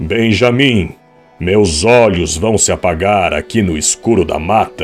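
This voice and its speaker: Over faint music in the background, a man performs a put-on character voice, fairly low and booming, at a fairly slow pace. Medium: read story. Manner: solemn, weary.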